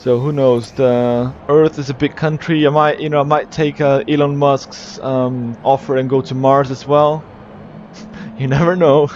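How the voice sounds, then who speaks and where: Noticeable background noise sits behind a voice with a slight British accent moving at a fairly slow pace. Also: man, fairly high pitch for a man, fairly even intonation. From Brazil. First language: Portuguese. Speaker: esports race commentator and streamer. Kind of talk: live race commentary and chat with viewers. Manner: casual, hesitant with fillers.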